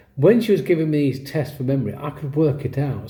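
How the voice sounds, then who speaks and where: A man with an English accent, a dark, mellow, somewhat breathy tone and a fairly quick pace, amid audible room echo. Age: 60s. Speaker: vlogger with ADHD, former teacher. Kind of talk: personal story to camera. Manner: casual, self-correcting.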